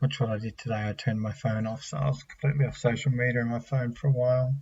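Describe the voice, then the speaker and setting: A somewhat breathy man's medium-pitched voice with an Australian accent. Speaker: vlogger. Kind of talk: personal testimony. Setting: home at night. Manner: soft-spoken; halting. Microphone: laptop mic.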